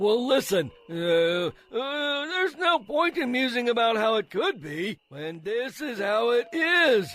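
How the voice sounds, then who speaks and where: Over music in the background, a man does a put-on character voice, extremely high in pitch with very wide pitch swings, at a fairly slow pace with hardly any pauses. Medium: audio drama. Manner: hesitant, many "uh"s.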